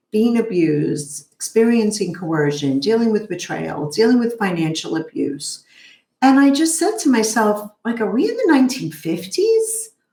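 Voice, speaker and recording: In a Brooklyn accent, a woman talks at a moderate pace, her fairly high pitch making very wide swings. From New York, Brooklyn. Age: 50s. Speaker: therapist. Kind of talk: interview.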